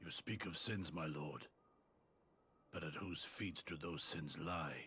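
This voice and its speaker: Put-on character voice from a man, very deep and low, with a calm tone and a fairly slow pace. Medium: video game. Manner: calm, earnest.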